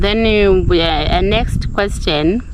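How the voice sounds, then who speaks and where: Noticeable background noise and audible room echo around a woman's voice. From Zimbabwe, Gokwe (Mashonaland). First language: Ndebele and Shona. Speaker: village life vlogger. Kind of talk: casual Q&A vlog. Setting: outdoors. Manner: animated.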